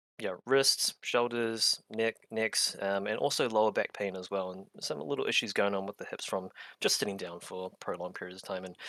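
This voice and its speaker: With a slight New Zealand accent, a man talks fairly quickly at a fairly low pitch with ordinary pitch variation. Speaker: clinical exercise physiologist. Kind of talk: interview and tutorial.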